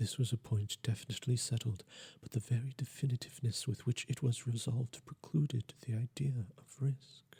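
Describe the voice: A man at medium pitch and a moderate pace, with vocal fry, a husky, rough edge, a dark, mellow tone and fairly even intonation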